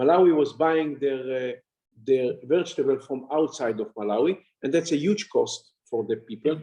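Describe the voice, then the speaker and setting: This man's voice has a dark, mellow tone at a fairly high pitch. He moves at a moderate pace with ordinary pitch variation. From Israel. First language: Hebrew. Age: 60s. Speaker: honorary consul and farming businessman. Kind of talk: interview.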